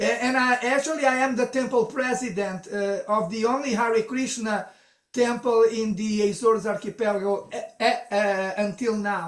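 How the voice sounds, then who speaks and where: At a moderate pace and with fairly even intonation, a man speaks at an extremely high pitch. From Brazil and Portugal. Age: 60s. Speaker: temple president and preacher. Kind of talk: casual chat. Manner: halting.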